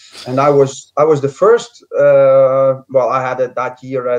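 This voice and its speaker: With a strong Scottish accent, a man speaks at a fairly high pitch. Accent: strong Scottish accent (Dutch origin). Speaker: former footballer. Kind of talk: interview. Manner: hesitant, many fillers.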